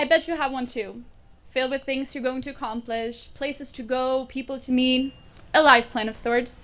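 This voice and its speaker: A woman with a Swedish accent speaks at a moderate pace in a high voice. Her delivery is flat and monotone, with big swings in loudness. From Sweden. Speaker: graduating student. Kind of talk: commencement speech. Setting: graduation ceremony with audience.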